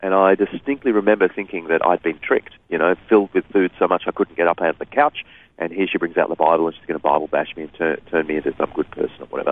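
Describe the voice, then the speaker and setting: A man with an Australian accent talks at a very fast pace with hardly any pauses. His loudness swings widely. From Sydney, Australia. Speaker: author and speaker. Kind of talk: interview.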